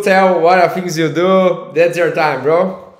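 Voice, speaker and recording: With a Portuguese accent, a man speaks at a high pitch for a man amid noticeable background noise. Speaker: podcast host, agency CEO. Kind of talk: casual interview. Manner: halting.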